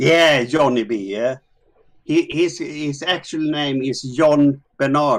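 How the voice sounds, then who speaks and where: At a very slow pace, a man speaks in a fairly high pitch with a Swedish accent. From Sweden. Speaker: discord chat participant. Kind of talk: casual chat. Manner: halting.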